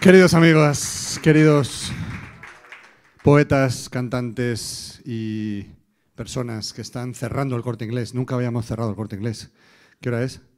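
A man speaks at a fairly slow pace with long, frequent pauses and ordinary pitch variation. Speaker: master of ceremonies. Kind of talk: event host announcing and closing. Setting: stage with audience. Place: stage. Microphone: handheld.

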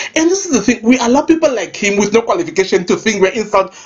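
Over noticeable background noise, a woman talks at a very fast pace in an animated tone, her fairly high pitch moving through very wide swings. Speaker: gossip vlogger. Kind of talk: celebrity gossip rant.

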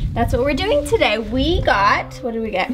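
High female speech set against noticeable background noise. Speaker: vlogger. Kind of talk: casual vlog chat. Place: garden. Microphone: camera far.

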